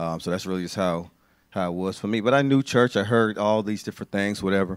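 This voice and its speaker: The sound is close and dry, without any echo. A man with an American accent speaks very fast. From Bahamas, raised in the US from age five. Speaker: ministry worker. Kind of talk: testimony. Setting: church with congregation.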